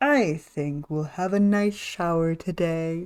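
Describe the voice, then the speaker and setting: A booming, female-sounding put-on character voice at a middle pitch, on a very clean recording with a silent background. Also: fairly slow pace. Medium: virtual streamer. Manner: bossy, booming.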